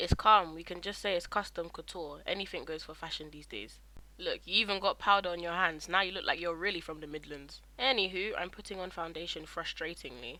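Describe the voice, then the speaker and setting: A woman with a fairly low, bright, sharp voice and vocal fry talks at a fairly quick pace with fairly even intonation and big swings in loudness. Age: young. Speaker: student, aspiring fashion journalist. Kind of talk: humorous makeup tutorial voiceover. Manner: playful, joking.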